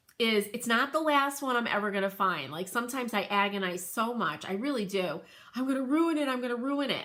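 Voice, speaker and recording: Speaking in a New England accent, a woman uses a fairly high, bright, sharp voice at a fairly quick pace. Her tone is animated, with lively intonation. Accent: New England twang. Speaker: crafter and home decor livestreamer. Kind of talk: casual livestream chat. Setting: live video stream.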